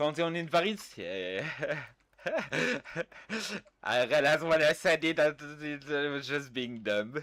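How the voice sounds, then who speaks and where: A man with a French accent speaks at a fairly slow pace and a fairly high pitch. His tone is bright and sharp, broken by long, frequent pauses. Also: lively intonation. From France. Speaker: video game streamer. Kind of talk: casual gaming livestream chat. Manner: animated.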